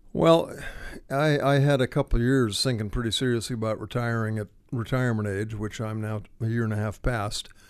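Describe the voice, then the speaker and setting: Over a quiet background, a man talks at a fairly quick pace in a normal speaking voice. His pitch sits in the middle range, and his intonation stays fairly even. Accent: American. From Ohio, between Akron and Cleveland. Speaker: retired nonprofit director and writer. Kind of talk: interview. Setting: studio.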